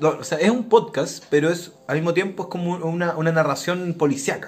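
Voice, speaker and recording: A man's high-pitched voice at a moderate pace. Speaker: podcast host. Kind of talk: casual chat.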